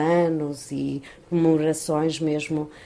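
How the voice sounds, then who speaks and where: This woman's voice sits at a fairly low pitch and keeps a monotone, flat intonation. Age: 50s. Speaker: unemployed mother. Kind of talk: interview.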